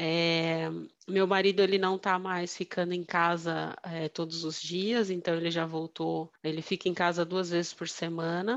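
Over a quiet background, a woman talks at a fairly slow pace. Her fairly low voice stays monotone and flat. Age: 40s. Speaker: finance and innovation manager. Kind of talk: casual interview. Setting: remote call.

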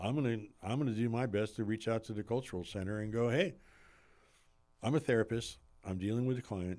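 A man speaks at a fairly quick pace with ordinary pitch variation, leaving long, frequent pauses. The recording is very clean, with a silent background. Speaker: licensed clinical social worker and therapist. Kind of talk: podcast interview.

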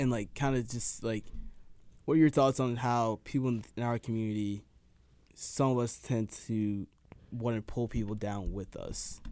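Speaking at a moderate pace with an American accent, a man has a dark, mellow tone and medium pitch. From Dallas suburbs, Texas. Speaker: college student. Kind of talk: casual chat.

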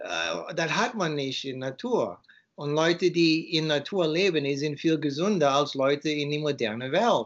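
The man's pitch is fairly high, with ordinary variation. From USA. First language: English (speaking German). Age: 50s. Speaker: author and raw food advocate. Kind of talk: interview. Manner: halting.

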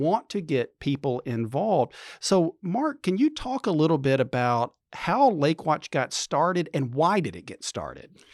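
The speaker has a plain, everyday voice with lively intonation at a fairly slow pace. The recording is very clean with a silent background. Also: man. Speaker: center director. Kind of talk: casual interview. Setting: studio.

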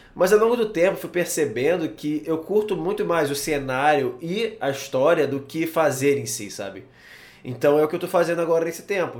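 Here a man speaks with a slight Carioca accent. His pace is moderate. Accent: Carioca (Rio) accent, slight. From Rio de Janeiro, Brazil. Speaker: podcast host. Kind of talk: casual interview chat. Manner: halting, many fillers.

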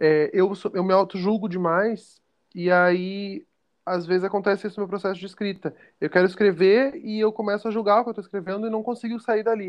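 Pitched high, a man talks at a fairly quick pace with fairly even intonation. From Porto Alegre, southern Brazil. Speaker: podcast guest, theater student. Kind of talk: casual chat.

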